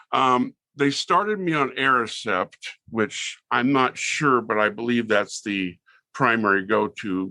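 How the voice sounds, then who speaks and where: A man with a Californian accent speaks at a medium pitch, his tone bright and sharp. His intonation is lively, and the background is quiet. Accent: Californian American. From Southern California. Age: 60s. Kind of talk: interview.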